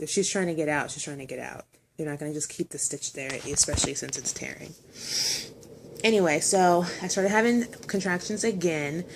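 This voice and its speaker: A woman talks at a fairly quick pace with a fairly low pitch. Her pitch varies in an ordinary way, while her loudness swings widely. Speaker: vlogger sharing birth story. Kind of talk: casual personal story vlog. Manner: fast.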